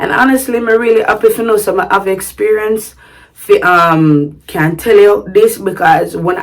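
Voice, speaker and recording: Lively intonation and an animated tone mark this woman's delivery in a Jamaican accent. She keeps a moderate pace. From Sint Maarten, Jamaican background. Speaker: vlogger. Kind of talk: casual vlog talk. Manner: animated, code-switching to patois.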